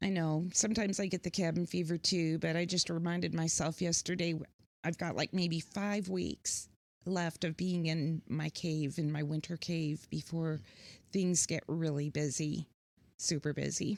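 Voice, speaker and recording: In a very clean recording with a silent background, a woman with a Midwestern US accent speaks at a moderate pace and a fairly low pitch, her loudness very even and her intonation fairly even. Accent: US Midwest. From US Midwest, Pontiac, Michigan and Kansas. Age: 60s. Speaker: musician and writer. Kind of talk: casual chat. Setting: studio.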